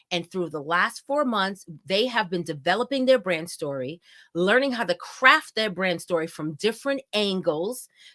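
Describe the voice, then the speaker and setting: A loud, animated woman's voice at medium pitch, bright and sharp in tone, with lively intonation. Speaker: event host and company founder. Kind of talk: live event introduction. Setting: live virtual event stream.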